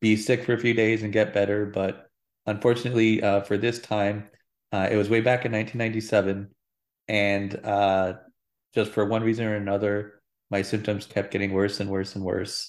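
Monotone, flat delivery in an American accent at a moderate pace, broken by long, frequent pauses. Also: man. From Phoenix, Arizona. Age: 30s. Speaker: news producer. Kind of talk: interview. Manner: hesitant, many fillers.

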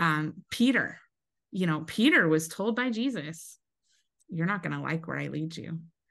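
At a moderate pace and a fairly low pitch, a woman with a General American accent uses lively intonation and vocal fry against a quiet background. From US Pacific Northwest (Eastern Washington). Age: 40s. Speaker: pastor's wife. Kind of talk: testimony.

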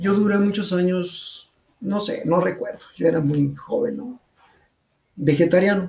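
A man with a high pitch talks at a fairly slow pace. His pitch varies in an ordinary way, and he leaves long, frequent pauses. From León, Guanajuato, Mexico. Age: 50s. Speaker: amateur runner. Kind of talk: interview.

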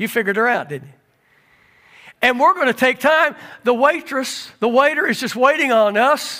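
In a raised, projected voice with a bright, sharp tone, the speaker moves at a moderate pace with lively intonation. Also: man. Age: 60s. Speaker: pastor. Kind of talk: sermon. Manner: animated.

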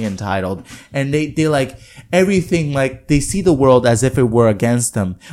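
A man with a Spanish accent speaks at a moderate pace in a fairly high pitch, his intonation lively. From Puerto Rico, Adjuntas. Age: 20s. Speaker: musician. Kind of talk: casual chat.

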